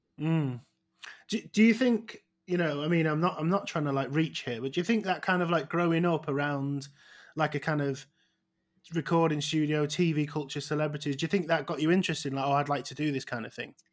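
At a fairly quick pace, a man with a Manchester accent speaks at a fairly high pitch with ordinary pitch variation on a very clean recording with a silent background. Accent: Manchester-area northern English. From northern England, outside Manchester. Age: 30s. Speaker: comedian and podcast host. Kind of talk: casual chat. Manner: halting.

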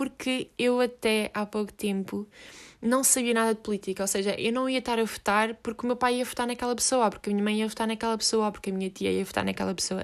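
On a very clean recording with a silent background, a woman with a European Portuguese accent speaks at a very fast pace with fairly even intonation. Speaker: podcast host. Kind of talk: solo monologue. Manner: halting, many fillers.

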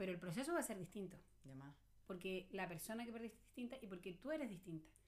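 The speaker talks at a fairly quick pace with lively intonation, a somewhat breathy sound, and long, frequent pauses. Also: woman. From Chile. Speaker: psychologist. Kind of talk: casual chat.

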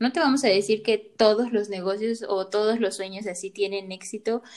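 A woman speaks at a moderate pace in a plain, everyday voice. Her pitch is fairly high and her intonation fairly even. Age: 20s. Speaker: psychologist podcast co-host. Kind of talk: casual chat.

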